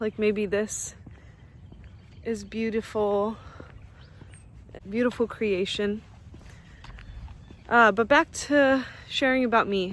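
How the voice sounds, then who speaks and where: A woman speaks at a very slow pace, with long, frequent pauses. Her pitch is fairly high and her intonation fairly even. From US Midwest, St. Louis area, Missouri (moved from Russia at age 4). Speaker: vlogger. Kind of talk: casual vlog monologue. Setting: outdoors in a park. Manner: hesitant, with fillers.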